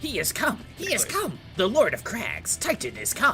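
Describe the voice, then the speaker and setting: The speaker uses a put-on character voice at a moderate pace. Music plays clearly in the background. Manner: shrill, excited proclamation.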